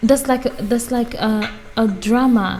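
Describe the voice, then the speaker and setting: With music in the background, a woman talks at a fairly slow pace with monotone, flat intonation. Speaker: YouTuber reading books aloud. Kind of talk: casual talk to camera. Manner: chatty, informal.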